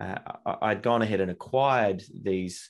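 A man talks with an Australian accent. The background is quiet. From Australia, Melbourne. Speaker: entrepreneur. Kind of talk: casual chat.

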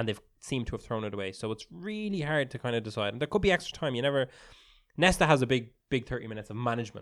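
This man talks at a very fast pace in an animated tone. His intonation is lively. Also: medium pitch for a man. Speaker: football podcast co-host. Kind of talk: live-style sports commentary while watching the match, banter. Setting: studio, watching a stream of the match. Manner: animated, reactive, interjecting short match calls over co-host.

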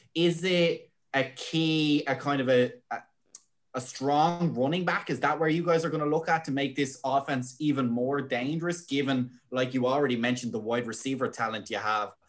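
Here is a man with an unremarkable speaking voice at a fairly high pitch. His pace is moderate, and his pitch varies in an ordinary way. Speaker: podcast co-host. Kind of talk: casual chat.

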